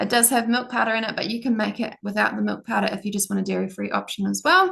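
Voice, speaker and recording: A woman with a New Zealand accent, over a quiet background. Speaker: product demonstrator. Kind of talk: product demo. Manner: fast. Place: home room. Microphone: video call.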